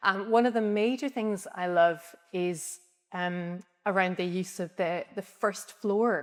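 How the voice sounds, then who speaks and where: Speaking with a Scottish accent, a woman uses a medium pitch and ordinary pitch variation. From Scotland. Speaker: architect. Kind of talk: interview. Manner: hesitant, many ums.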